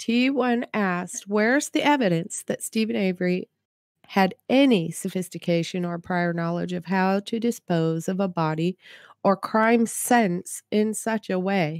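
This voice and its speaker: A woman with an ordinary speaking voice talks fairly slowly at a medium pitch with ordinary pitch variation, in a dry, close sound with no echo. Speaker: chat moderator. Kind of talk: casual discussion. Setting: online video call.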